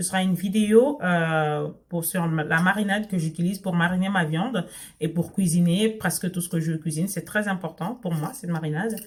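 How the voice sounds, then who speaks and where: A woman with a non-native accent, a fairly low pitch and a somewhat breathy voice, talking at a moderate pace with ordinary pitch variation. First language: not French (speaking French). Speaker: sewing and lifestyle vlogger. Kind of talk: casual vlog talk to camera. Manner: hesitant, many fillers and restarts.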